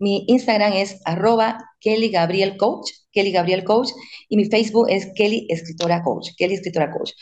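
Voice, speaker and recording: Here a woman talks with a medium pitch and ordinary pitch variation. She keeps a moderate pace. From Bolivia. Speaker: author and parenting coach. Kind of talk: interview.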